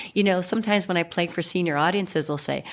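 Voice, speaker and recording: A woman speaks at a fairly low pitch with vocal fry. Her pitch varies an ordinary amount. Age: 60s. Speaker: singer-songwriter. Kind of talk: interview conversation.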